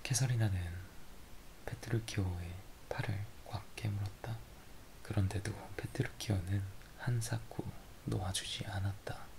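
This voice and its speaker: A man whispering with vocal fry, at a fairly slow pace with long, frequent pauses. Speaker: ASMR creator. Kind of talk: story reading with dialogue. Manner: whispered.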